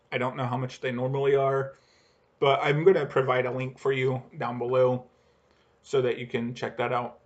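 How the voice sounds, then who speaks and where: A man talks in a monotone with flat intonation. His pace is moderate. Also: medium pitch for a man. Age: 30s. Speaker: aviation vlogger and airline employee. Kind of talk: casual vlog monologue. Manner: halting, with fillers and false starts.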